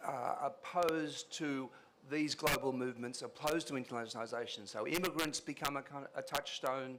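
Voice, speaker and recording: This man talks at a fairly quick pace with a fairly high pitch. His pitch variation is ordinary. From Australia. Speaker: professor. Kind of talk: conference speech. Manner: hesitant, many fillers.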